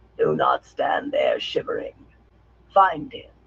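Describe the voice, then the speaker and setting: A put-on character voice at an extremely high pitch unfolds at a fairly slow pace. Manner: commanding, cold.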